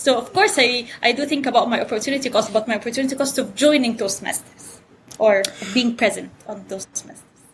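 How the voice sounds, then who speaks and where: A woman's high voice at a fairly quick pace, with ordinary pitch variation and noticeable background noise. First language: Arabic. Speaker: economics professor. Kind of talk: interview. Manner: animated.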